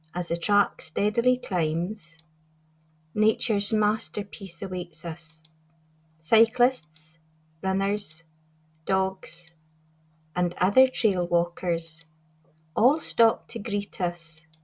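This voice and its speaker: A woman with a Scottish Highlands accent speaks at a very slow pace with long, frequent pauses, in a somewhat breathy voice of medium pitch and ordinary pitch variation. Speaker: poet. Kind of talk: poetry reading. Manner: light-hearted, upbeat.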